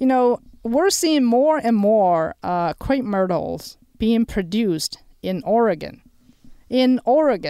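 In a very clean recording with a silent background, a woman speaks at a fairly high pitch and a very slow pace. Her tone is dark and mellow, with very wide pitch swings in a dry, close sound with no echo. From China. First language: Chinese. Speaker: horticulture professor. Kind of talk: radio interview. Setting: studio.

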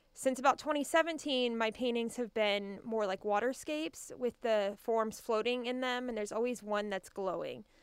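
With an American accent and a normal speaking voice, a woman with a fairly high pitch talks at a moderate pace with ordinary pitch variation and hardly any pauses. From Kansas. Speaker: art teacher and artist. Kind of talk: radio interview.

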